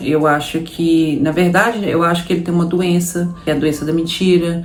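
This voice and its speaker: Amid noticeable background noise and audible room echo, a woman with a fairly low pitch speaks at a fairly slow pace. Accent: Minas Gerais. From Brazil, Minas Gerais. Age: 30s. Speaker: immigrant vlogger. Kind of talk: personal story to camera. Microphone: no proper microphone, audio may be poor.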